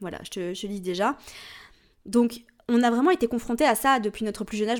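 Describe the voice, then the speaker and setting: A woman talks at a fairly quick pace in an ordinary speaking voice, with ordinary pitch variation. The recording is very clean, with a silent background. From Switzerland. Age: 30s. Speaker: astrology podcast host. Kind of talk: solo podcast talk. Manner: casual, chatty with fillers.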